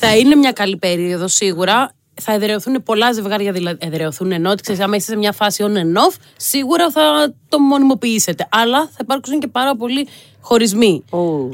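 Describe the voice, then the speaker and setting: With very wide pitch swings, a woman at a fairly high pitch speaks at a moderate pace over noticeable background noise. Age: 30s. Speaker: youth astrologer. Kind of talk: casual chat.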